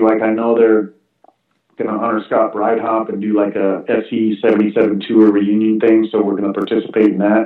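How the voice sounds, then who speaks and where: This man's pitch sits in the medium range. He talks at a fairly quick pace. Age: 50s. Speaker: former BMX racer and track owner. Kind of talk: casual chat. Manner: animated.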